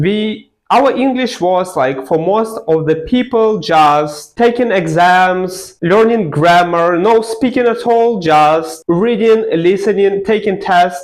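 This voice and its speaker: A man with a non-native accent speaks at a very slow pace. His intonation is lively. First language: not English. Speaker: language learning vlogger. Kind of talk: personal story to camera. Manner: casual, filler-heavy.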